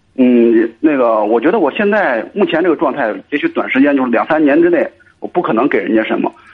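A man's fairly high voice, fairly quick pace and lively intonation. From Cangzhou, Hebei, China. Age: 30s. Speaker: caller. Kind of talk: radio call-in advice chat. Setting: phone call. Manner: halting.

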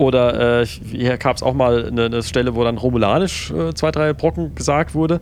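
Over noticeable background noise, a man with a medium pitch talks at a moderate pace, his pitch swinging very widely while his loudness stays very even. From Palatinate, Germany. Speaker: podcast co-host. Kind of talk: casual chat.

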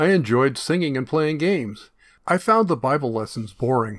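A man speaks with an American accent at a fairly quick pace, his pitch swinging very widely. The recording is very clean, with a silent background. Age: 70s. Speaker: podcaster telling his life story. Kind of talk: reading aloud from his own journal; memoir storytelling monologue. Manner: casual, conversational.

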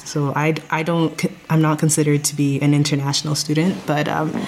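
The woman's voice sits at a very deep, low pitch. Noticeable background noise runs behind her. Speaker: chemistry master's student. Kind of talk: casual interview.

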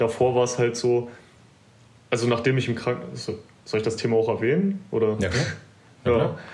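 With audible room echo and very even loudness, a man at a medium pitch speaks with long, frequent pauses. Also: ordinary pitch variation. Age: 20s. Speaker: bodybuilding competitor. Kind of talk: casual interview.

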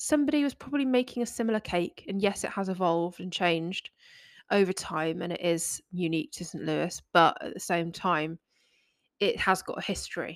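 A woman with a plain, everyday voice speaks at a medium pitch and a fairly quick pace with lively intonation. The recording is very clean, with a silent background. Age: 30s. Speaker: baking podcast host. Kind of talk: solo podcast monologue. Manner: casual, filler-heavy.

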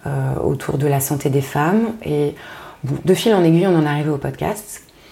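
A woman with a very deep, low pitch talks at a fairly slow pace against noticeable background noise. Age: 30s. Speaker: podcaster and strategy consultant. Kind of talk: casual interview conversation.

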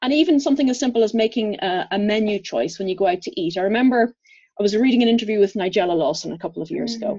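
With an Irish accent, a woman speaks at a very fast pace with a fairly high pitch, lively intonation and a dark, mellow tone. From Ireland. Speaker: physiotherapist and herbalist. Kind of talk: interview conversation.

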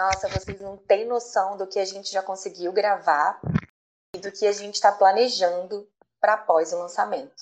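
Her speaking voice is an unremarkable speaking voice: a woman at a medium pitch and moderate pace, with fairly even intonation and big swings in loudness. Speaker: podcast host, chemistry professor. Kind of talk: casual chat.

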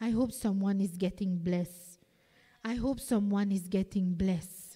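A somewhat breathy woman's voice at medium pitch, with a dark, mellow tone, fairly even intonation and a fairly slow pace. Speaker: preacher. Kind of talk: sermon. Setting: church.

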